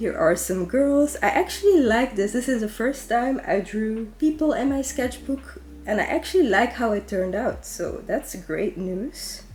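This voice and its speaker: A woman with a Dutch accent at a moderate pace, with hardly any pauses and music in the background. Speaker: artist / sketchbook YouTuber. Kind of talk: sketchbook tour narration. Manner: casual, chatty.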